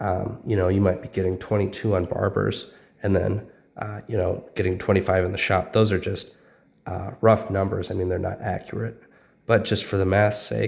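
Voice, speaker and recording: A man speaks at a moderate pace in a fairly low, somewhat breathy voice. His intonation is monotone and flat. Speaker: coin dealer. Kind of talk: casual talk to camera.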